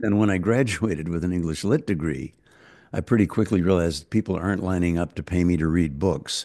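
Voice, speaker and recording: This man has a very deep, low pitch, a dark, mellow tone, ordinary pitch variation and an American accent, heard against a quiet background. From United States. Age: 80s+. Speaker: folk singer-songwriter. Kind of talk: interview answer.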